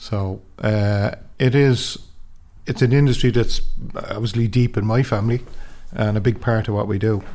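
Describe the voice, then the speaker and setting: With an Irish accent, a man speaks at medium pitch in a dark, mellow tone. His intonation is fairly even, with long, frequent pauses. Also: moderate pace. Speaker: training centre manager. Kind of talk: interview.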